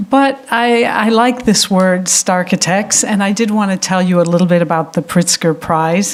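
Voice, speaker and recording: A woman at a fairly slow pace with ordinary pitch variation, over noticeable background noise. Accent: American. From United States. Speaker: architecture prize director, lecturer. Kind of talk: lecture. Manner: hesitant, many fillers.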